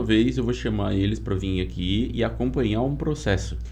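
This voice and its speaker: The speaker goes at a moderate pace. Audible room echo fills the recording. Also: man. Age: 30s. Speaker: podcast host, environmental engineer. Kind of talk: casual interview chat. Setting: studio.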